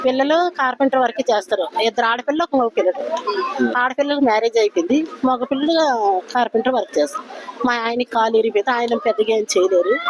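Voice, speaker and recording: A woman speaks at a high pitch with lively intonation and very even loudness, against noticeable background noise. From Vizianagaram, Andhra Pradesh, India. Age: old. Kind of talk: street interview answer.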